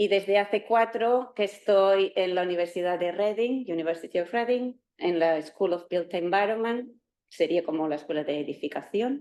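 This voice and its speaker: A dark, mellow tone with a Catalan accent, moderate pace and ordinary pitch variation. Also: woman, medium pitch for a woman. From Catalonia, Spain (Terrassa, near Barcelona). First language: Catalan (speaking Spanish). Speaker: university professor. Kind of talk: lecture. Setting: lecture hall with live and online audience. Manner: halting.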